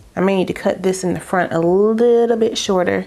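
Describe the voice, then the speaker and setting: An animated woman's voice with ordinary pitch variation amid noticeable background noise. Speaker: beauty vlogger. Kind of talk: tutorial. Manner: casual, animated.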